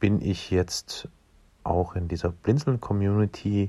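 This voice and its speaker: Speaking at a very slow pace, a man has a dark, mellow tone, captured in a very clean recording with a silent background and a dry, close sound with no echo. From Dresden, Saxony. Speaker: podcast producer. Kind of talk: casual chat. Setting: recorded in various everyday locations.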